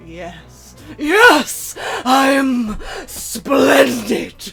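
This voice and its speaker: A put-on character voice speaks at a high pitch. Faint music plays in the background. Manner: dramatic, grandiose.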